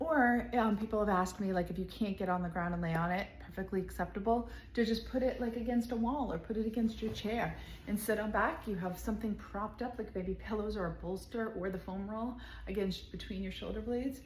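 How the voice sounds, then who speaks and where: Speaking fairly quickly with vocal fry, a woman with a medium pitch is heard amid audible room echo. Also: ordinary pitch variation. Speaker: physical therapist and knitting channel host. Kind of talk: tutorial. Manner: animated.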